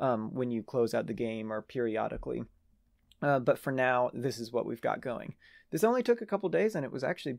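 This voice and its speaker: Against quiet surroundings, a man talks with a lively rise and fall in pitch. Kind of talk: devlog commentary. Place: home room.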